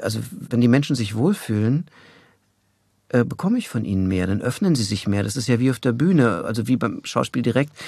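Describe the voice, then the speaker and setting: This man talks fairly quickly in a medium pitch with a dark, mellow tone. His intonation is lively. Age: 60s. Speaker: voice actor. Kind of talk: interview. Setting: studio.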